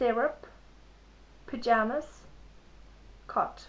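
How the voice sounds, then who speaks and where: With a non-native accent, this voice keeps its intonation fairly even. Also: woman. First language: not English. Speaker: vlogger. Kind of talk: vlog, accent tag reading word list. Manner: halting, repeats words.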